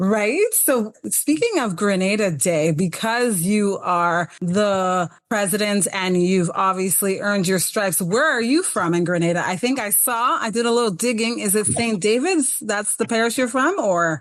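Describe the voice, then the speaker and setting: An unremarkable speaking voice from a woman, medium in pitch, at a moderate pace with hardly any pauses, lively intonation and very even loudness. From Toronto, Canada, Grenadian family. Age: 40s. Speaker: talk show host. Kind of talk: interview.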